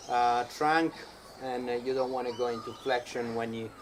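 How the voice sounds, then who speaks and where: A man with a non-native accent at a fairly slow pace, with noticeable background noise. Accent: foreign. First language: not English. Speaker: fitness coach. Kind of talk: tutorial. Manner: halting, many fillers.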